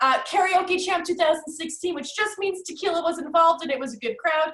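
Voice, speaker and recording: Very fast pace with an American accent. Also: woman. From US Northeast, North Jersey. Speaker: executive assistant trainer, presenter. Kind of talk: webinar presentation. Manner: high energy.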